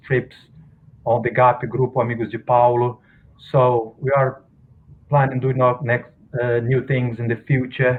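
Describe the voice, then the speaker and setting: A man with a non-native accent speaks at a moderate pace in a monotone, flat delivery. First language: Portuguese. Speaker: researcher of spiritist novels. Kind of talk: guest talk. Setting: video call. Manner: halting.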